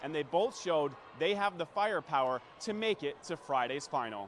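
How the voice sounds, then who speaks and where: There is noticeable background noise. A man speaks at a moderate pace over it. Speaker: sports anchor and reporter. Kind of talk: live sports highlight voiceover.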